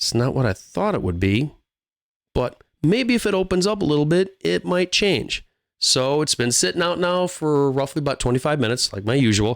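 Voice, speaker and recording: At a moderate pace, a man with a fairly high voice speaks with very wide pitch swings on a very clean recording with a silent background. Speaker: whiskey reviewer. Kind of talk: product review. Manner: casual.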